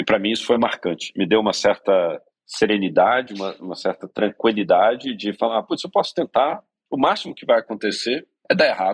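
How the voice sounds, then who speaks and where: A man talks at a fairly quick pace with a plain, everyday voice, medium pitch and ordinary pitch variation. His loudness swings widely, and the sound is dry and close with no echo. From Brazil, Minas Gerais (Belo Horizonte). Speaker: startup co-founder and CEO. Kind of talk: interview conversation.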